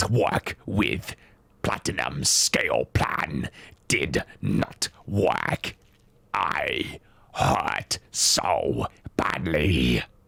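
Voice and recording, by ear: A growling, put-on character voice speaks at a very slow pace. Sound effects play in the background. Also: man, very deep, low pitch for a man.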